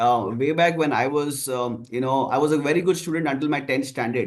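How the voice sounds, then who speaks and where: This is a man speaking at a fairly high pitch. His pitch varies in an ordinary way. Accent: Kannada. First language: Kannada. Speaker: marketing professor. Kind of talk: online panel discussion.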